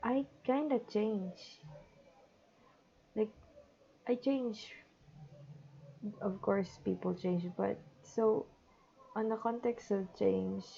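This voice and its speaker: A woman speaks at a very slow pace, with long, frequent pauses. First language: not English. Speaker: digital artist. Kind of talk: unscripted monologue over drawing timelapse. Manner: halting, with pauses.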